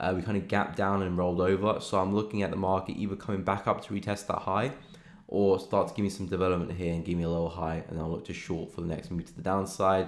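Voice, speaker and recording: Very fast and monotone, with flat intonation, a man talks in a British accent at a very deep, low pitch. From England, London. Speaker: forex trader and live streamer. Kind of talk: live stream chart analysis. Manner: casual, relaxed.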